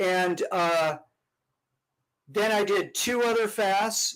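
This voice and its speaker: A man speaks with ordinary pitch variation. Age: 60s. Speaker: podcast guest, health and fasting advocate. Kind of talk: casual chat.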